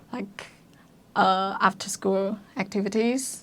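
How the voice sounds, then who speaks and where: Ordinary pitch variation marks this voice with a Chinese accent. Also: woman. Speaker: university student. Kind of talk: casual chat. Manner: halting.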